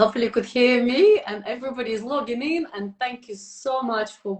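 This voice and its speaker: Moderate pace from a woman with a high voice, noticeable background noise behind her. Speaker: interview channel host. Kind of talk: casual interview. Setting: online video call. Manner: animated.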